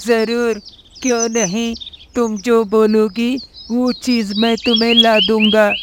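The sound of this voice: This cartoonish character voice, fairly high in pitch, moves at a very slow pace with monotone, flat intonation.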